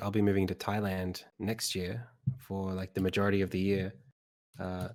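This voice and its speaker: A man speaks fairly quickly with an Australian accent. His fairly low voice stays monotone and flat. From Sydney, Australia. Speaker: game developer. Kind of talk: casual interview during live stream.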